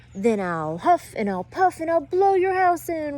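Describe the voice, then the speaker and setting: A put-on character voice bellows in a high pitch. The pace stays moderate. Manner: roaring, menacing.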